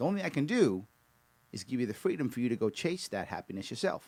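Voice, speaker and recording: A man with an American accent at a very fast pace, his pitch swinging very widely. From New York. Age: 50s. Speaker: political candidate. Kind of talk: political speech.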